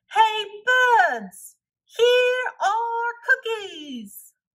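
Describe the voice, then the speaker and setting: A woman's loud, squeaky, shouting put-on character voice at an extremely high pitch. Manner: loud shouting.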